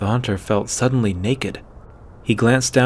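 Text delivered in an unforced reading voice

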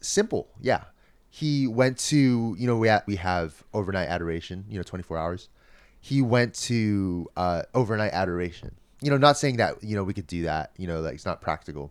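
A man speaks in an unremarkable speaking voice, fairly low in pitch, with lively intonation at a moderate pace. The recording is very clean with a silent background. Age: 20s. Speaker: seminarian. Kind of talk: casual chat.

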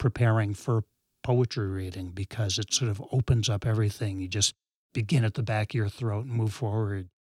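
With an American accent, a man talks at a medium pitch in a somewhat breathy voice with ordinary pitch variation, recorded dry and close with no echo against a silent background on a very clean recording. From New England, west of Boston. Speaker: professor. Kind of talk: casual chat. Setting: studio, in person.

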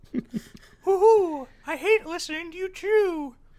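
A put-on character voice pitched extremely high moves at a fairly slow pace. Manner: annoyed, complaining.

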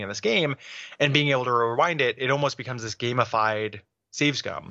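Speaking fairly quickly with an American accent, a man uses a normal speaking voice of medium pitch and fairly even intonation. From US Midwest. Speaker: video game podcast co-host. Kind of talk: casual chat.

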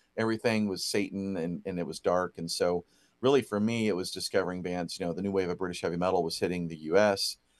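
A man with an American accent talks at a very fast pace in a very deep, low pitch with fairly even intonation. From Ohio, near Dayton. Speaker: record store owner. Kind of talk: interview.

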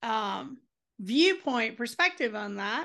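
Over a quiet background, a woman talks very slowly in a raised, projected voice, her tone bright and sharp and her intonation lively. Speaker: podcast host. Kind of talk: casual interview conversation.

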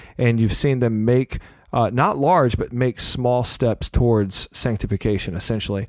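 A man's medium-pitched voice at a moderate pace, with ordinary pitch variation, very even loudness and a dry, close sound with no echo. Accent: slight Southern US. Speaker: podcast host. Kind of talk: casual conversational podcast. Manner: animated, chatty.

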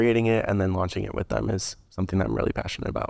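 With an unremarkable speaking voice, a man talks in a fairly low pitch with fairly even intonation over a quiet background. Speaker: engineering intern. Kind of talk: casual chat.

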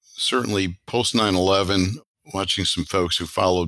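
Recorded very cleanly with a silent background and a dry, close sound with no echo, a man with an American accent and a very deep, low pitch speaks at a moderate pace. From Chicago, US Midwest. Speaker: airline pilot and franchise co-founder, military veteran. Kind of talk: interview.

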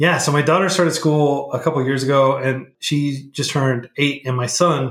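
A somewhat breathy man's voice, fairly high in pitch, in an American accent. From Oklahoma and Texas, US. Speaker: nonprofit founder, coding educator. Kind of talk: casual interview.

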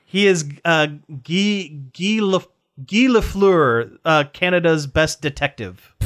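A man's high-pitched voice with lively intonation at a very slow pace. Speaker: podcast host. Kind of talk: casual chat.

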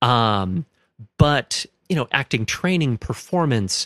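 A plain, everyday voice with an American accent moves at a fairly slow pace with lively intonation. The recording is very clean, with a silent background and a dry, close sound with no echo. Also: man. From Minnesota, US Midwest. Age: 30s. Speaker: religious studies graduate. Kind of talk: casual interview.

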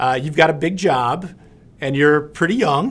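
A man with an ordinary speaking voice, fairly high-pitched, at a fairly quick pace. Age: 50s. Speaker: podcast host. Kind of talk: scripted outro; casual interview.

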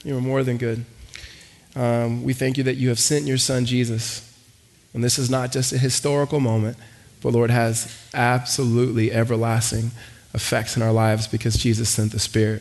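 A man speaks at a medium pitch in a monotone, flat intonation. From Los Angeles. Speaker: pastor. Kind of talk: sermon. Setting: church. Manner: fast talker.

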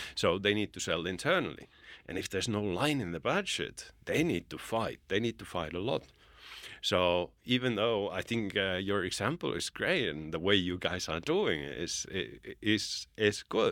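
A man with a Finnish accent speaks at a moderate pace and fairly low pitch, with lively intonation, on a very clean recording with a silent background. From Finland. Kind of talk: podcast interview. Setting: studio.

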